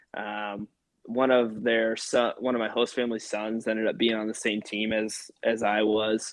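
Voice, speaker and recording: Speaking in an American accent, the man holds a moderate speed. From US Midwest, Iowa. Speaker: soccer player. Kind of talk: casual chat. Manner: casual, many fillers.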